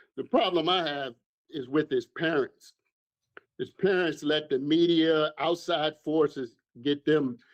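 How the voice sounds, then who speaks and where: An unremarkable speaking voice moves at a fairly slow pace with fairly even intonation, recorded with a dry, close sound and no echo. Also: man, fairly high pitch for a man. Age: 60s. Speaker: caller. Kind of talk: call-in opinion.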